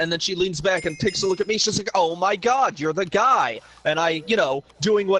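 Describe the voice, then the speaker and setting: The loud, animated voice moves at a fairly quick pace with a dry, close sound and no echo, over noticeable background noise. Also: man. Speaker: live streamer. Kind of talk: casual chat.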